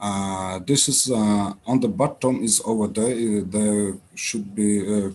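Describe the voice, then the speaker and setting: A man speaks in an Uzbek accent. His pitch is fairly low. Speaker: startup founder. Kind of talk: pitch presentation. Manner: halting, many fillers.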